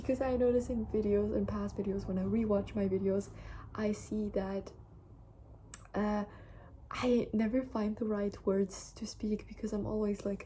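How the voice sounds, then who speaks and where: Speaking at a moderate pace with long, frequent pauses, a woman uses a somewhat breathy, dark, mellow voice at medium pitch, her intonation flat and monotone. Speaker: vlogger. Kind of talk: casual monologue to camera. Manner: calm; hesitant.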